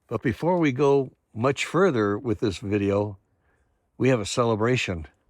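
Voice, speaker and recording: A man's normal speaking voice at medium pitch, with lively intonation and a moderate pace, over a quiet background. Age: 60s. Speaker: RV travel vlogger. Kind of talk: casual vlog narration.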